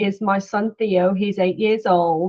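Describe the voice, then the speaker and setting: A woman with a British accent speaks at a fairly slow pace, her intonation fairly even. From UK. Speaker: head of product marketing. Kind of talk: conference talk.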